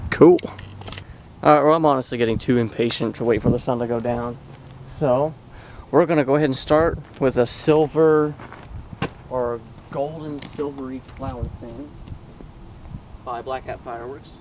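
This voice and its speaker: Amid noticeable background noise, a man speaks at a moderate pace with fairly even intonation. He leaves long, frequent pauses, and his loudness swings widely. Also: medium pitch for a man. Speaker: fireworks hobbyist vlogger. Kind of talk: casual commentary while filming. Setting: outdoors in an open area.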